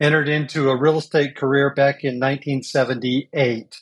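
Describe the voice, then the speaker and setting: A man's fairly high-pitched voice with a Midwestern American accent and monotone, flat intonation. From US Midwest (Champaign, Illinois). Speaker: business coach and trainer. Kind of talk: interview conversation.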